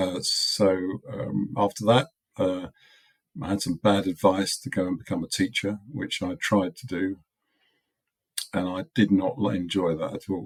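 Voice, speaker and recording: Recorded with a dry, close sound and no echo, a man with an English accent talks at a fairly slow pace and a fairly low pitch. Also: ordinary pitch variation. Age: 70s. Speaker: product designer. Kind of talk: interview.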